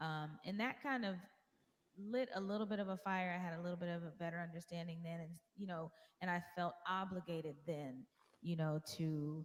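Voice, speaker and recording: A soft-spoken woman talks at a moderate pace. Her pitch is fairly low, with ordinary variation. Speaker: singer-songwriter. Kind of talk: interview. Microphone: too quiet.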